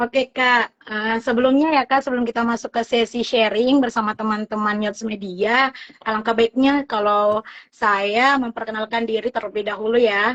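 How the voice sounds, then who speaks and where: The speaker's intonation stays monotone and flat, with hardly any pauses. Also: woman, fairly high pitch for a woman, moderate pace. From South Sulawesi, Bone. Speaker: live show host. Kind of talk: casual interview. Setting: Instagram live stream.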